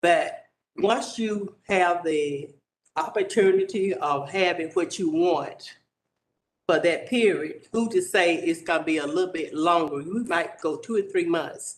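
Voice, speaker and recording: A man with a high pitch and a Southern US accent, at a fairly slow pace with ordinary pitch variation. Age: 70s. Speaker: resident speaking at public hearing. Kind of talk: public comment.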